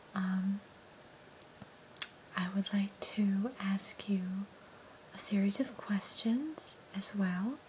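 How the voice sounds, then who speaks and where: A soft-spoken woman's voice, gentle in tone, over light background noise. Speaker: ASMR role-play host. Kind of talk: soft ASMR role-play talk. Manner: soft-spoken, gentle, close to mic. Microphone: phone near.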